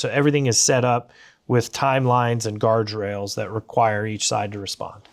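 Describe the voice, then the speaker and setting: Speaking at a fairly quick pace with fairly even intonation, a man uses an ordinary speaking voice at a medium pitch, captured in a very clean recording with a silent background. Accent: American. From USA. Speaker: business owner and economist. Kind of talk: interview conversation. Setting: library.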